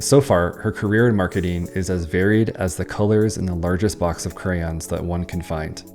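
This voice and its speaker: Over background music, a man with a very deep, low pitch talks at a moderate pace with hardly any pauses and ordinary pitch variation. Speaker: podcast host. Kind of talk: scripted podcast intro read.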